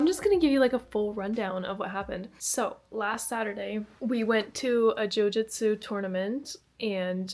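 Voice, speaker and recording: Woman with a Canadian accent, fairly high pitch, ordinary pitch variation and a moderate pace, with music in the background. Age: 20s. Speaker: lifestyle vlogger. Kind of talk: casual talk to camera. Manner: chatty.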